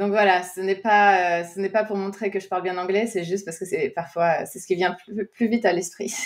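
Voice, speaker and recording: A woman speaks at a moderate pace in a medium pitch, with hardly any pauses. Her intonation is monotone and flat, though her loudness swings widely. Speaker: podcast host, energy analyst. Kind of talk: interview conversation. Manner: frequent hesitations.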